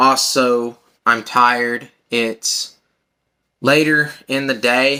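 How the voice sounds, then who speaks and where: Long, frequent pauses break up very slow, monotone, flat speech in a bright, sharp tone. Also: man, medium pitch for a man. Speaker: vlogger talking about own health. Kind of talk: personal monologue vlog.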